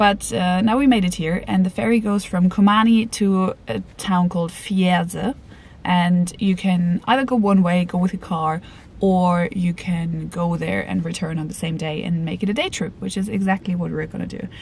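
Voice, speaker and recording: Somewhat breathy and at a moderate pace, a woman speaks with ordinary pitch variation in a dry sound with no echo. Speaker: travel vlogger. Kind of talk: casual vlog chat. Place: car. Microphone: phone near.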